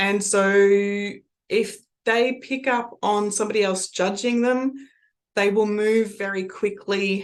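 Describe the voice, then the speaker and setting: Here is a woman with an ordinary speaking voice and medium pitch. She talks at a fairly slow pace with fairly even intonation. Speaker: NLP trainer and coach. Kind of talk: lecture.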